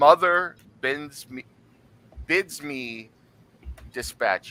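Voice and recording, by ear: A man does a put-on character voice, loud and booming with a fairly high pitch. He speaks at a very slow pace.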